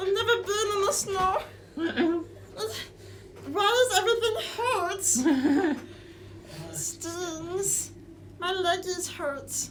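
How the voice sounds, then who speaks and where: A put-on character voice at an extremely high pitch goes very slowly, with long, frequent pauses and clear background noise. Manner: chattering teeth, complaining.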